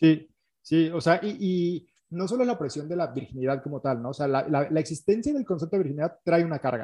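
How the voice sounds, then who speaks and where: Against a quiet background, the voice has a dark, mellow tone, a Mexican accent, a fairly quick pace and lively intonation. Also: man, fairly high pitch for a man. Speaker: podcast co-host. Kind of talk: casual chat. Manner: halting.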